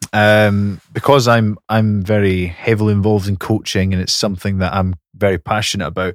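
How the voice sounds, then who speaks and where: On a very clean recording with a silent background and a dry, close sound with no echo, a man with a Scottish accent speaks at a moderate pace, his fairly low pitch held in fairly even intonation. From Scotland, Fife. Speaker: podcast co-host and rugby coach. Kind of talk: casual chat. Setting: studio.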